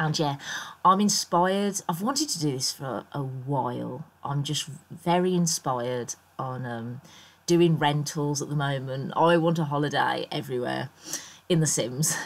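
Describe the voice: A woman speaks with a croaky voice at a low pitch. Her pace is fairly slow. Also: ordinary pitch variation.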